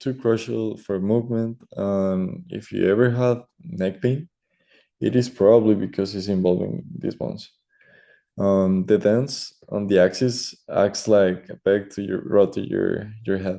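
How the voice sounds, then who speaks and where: A man speaks fairly slowly with a Spanish accent. His fairly low voice carries a dark, mellow tone. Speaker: student. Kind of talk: class presentation. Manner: hesitant, many fillers.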